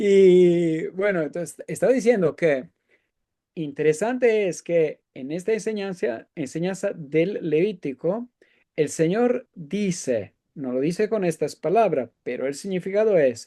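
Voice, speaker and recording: This man has a dark, mellow tone and a high pitch for a man, using lively intonation at a fairly slow pace, with a dry, close sound, no echo, and a quiet background. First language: Italian (speaking Spanish). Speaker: economics professor. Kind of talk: interview discussion. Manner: halting.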